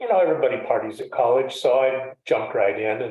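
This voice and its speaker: A man's voice with audible room echo. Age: 60s. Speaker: guest in recovery. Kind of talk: testimony.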